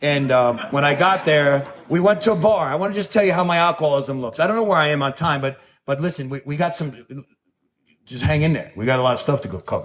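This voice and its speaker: A very fast, animated man with a New York accent, fairly high pitch and ordinary pitch variation. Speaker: recovering alcoholic speaker. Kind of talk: recovery talk. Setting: stage with audience.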